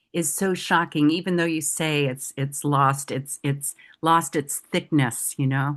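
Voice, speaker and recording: Against a quiet background, a woman with a very deep, low pitch speaks at a fairly slow pace with fairly even intonation. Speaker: podcast host. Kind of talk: casual interview conversation.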